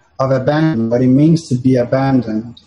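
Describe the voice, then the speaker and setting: Somewhat breathy and dark, mellow in tone, a man speaks with a Portuguese accent and ordinary pitch variation. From Brazil, Sao Paulo. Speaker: filmmaker, former lawyer. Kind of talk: interview. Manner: halting, with frequent repetitions.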